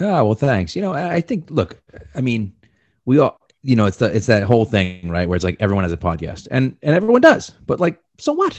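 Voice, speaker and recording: At a fairly quick pace, a man speaks with a medium pitch that swings very widely. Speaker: podcast co-host and sports writer. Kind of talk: casual chat. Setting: remote podcast interview.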